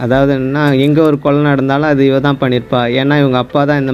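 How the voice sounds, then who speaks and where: A man with a fairly high pitch talks in a flat monotone while background noise is noticeable. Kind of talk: movie explanation narration. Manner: casual, chatty storytelling.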